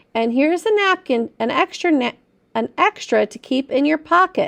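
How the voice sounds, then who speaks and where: Putting on a character voice with a gentle tone, a woman talks at a moderate pace with a high pitch. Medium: read story. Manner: gentle, instructive.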